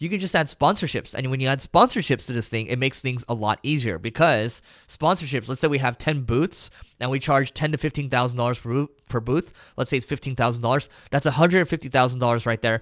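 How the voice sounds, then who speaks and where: Dry and close with no echo, a man with a medium pitch talks at a very fast pace. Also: ordinary pitch variation, very clean recording, silent background. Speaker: marketing entrepreneur hosting live Q&A. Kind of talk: live stream Q&A. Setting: live video stream. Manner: casual, with fillers and restarts.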